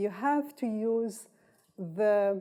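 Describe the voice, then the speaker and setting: A woman's fairly high voice with a dark, mellow tone and an Arabic accent. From North Yemen. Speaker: political science professor. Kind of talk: lecture.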